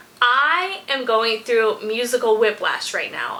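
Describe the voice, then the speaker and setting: With an American accent, a woman talks at a fairly slow pace and a high pitch over noticeable background noise. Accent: country accent that comes and goes. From US, rural country town. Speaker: music reaction youtuber. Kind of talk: casual vlog chat.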